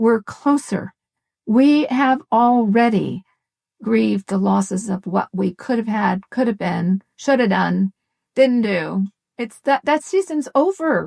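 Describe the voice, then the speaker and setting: A woman speaks at a very slow pace with a fairly high pitch. Her voice is somewhat breathy. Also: lively intonation, dry, close sound with no echo. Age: 70s. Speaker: family consultant and coach. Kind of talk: interview conversation.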